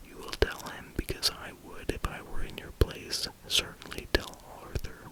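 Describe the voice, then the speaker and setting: Someone is whispering. Noticeable background noise can be heard. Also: moderate pace. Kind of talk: ASMR whispered reading of a novel for sleep. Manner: whispered.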